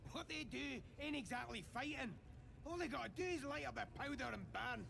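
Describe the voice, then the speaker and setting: Over loud background noise, a man uses a put-on character voice, raised and projected. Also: fairly quick pace. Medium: video game. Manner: coarse, ungrammatical.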